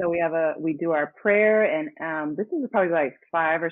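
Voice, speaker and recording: An unremarkable speaking voice, a woman's fairly low pitch with an American accent, at a moderate pace. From Los Angeles, US. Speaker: singer and actress. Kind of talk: interview.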